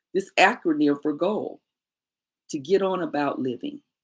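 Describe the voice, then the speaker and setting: Very wide pitch swings from a fairly low-pitched woman in an animated tone. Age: 60s. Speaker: midlife coach. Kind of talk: motivational talk.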